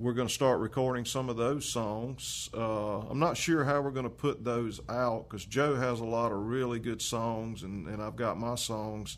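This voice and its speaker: Over audible room echo, a man with a Carolinas accent speaks at a moderate pace and medium pitch, with fairly even intonation and hardly any pauses. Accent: Southern US (Carolinas). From US South, Lancaster, South Carolina. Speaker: musician and guitar maker. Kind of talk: casual chat.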